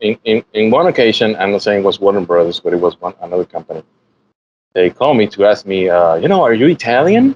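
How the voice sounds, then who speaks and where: In a Puerto Rican accent, a man talks very fast with lively intonation at a fairly low pitch. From Puerto Rico. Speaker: animation artist. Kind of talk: interview. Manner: halting, many repetitions.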